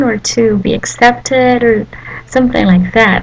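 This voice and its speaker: A woman's lively intonation comes through over noticeable background noise. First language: Malagasy. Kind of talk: devotional talk to camera. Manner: halting, many fillers.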